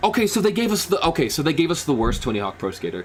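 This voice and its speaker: A man is speaking. His pitch swings very widely. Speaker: gaming streamer. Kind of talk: live reaction stream. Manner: animated; loud, yelling at times.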